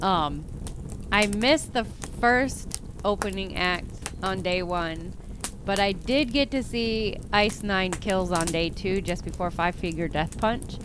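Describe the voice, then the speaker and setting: Very slowly and with ordinary pitch variation, a woman of medium pitch speaks amid noticeable background noise and audible room echo. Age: 40s. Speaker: podcast host and horror author. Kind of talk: casual solo podcast monologue. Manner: animated.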